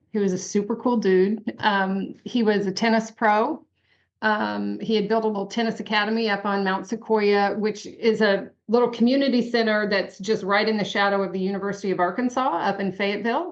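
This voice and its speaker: A woman at a medium pitch talks at a fairly quick pace. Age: 60s. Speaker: bereaved parent, author and speaker. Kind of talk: interview, personal testimony. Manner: frequent hesitations with um.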